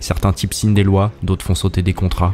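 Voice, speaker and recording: Over music in the background, a man with a very deep, low voice talks at a very fast pace. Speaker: YouTube essayist. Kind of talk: scripted narration.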